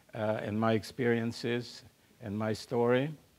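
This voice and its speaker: Speaking very slowly with a German accent, a man talks at a medium pitch. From Central Europe, German-speaking. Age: 90s. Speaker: Holocaust survivor speaker. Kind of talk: public talk. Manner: halting, many fillers.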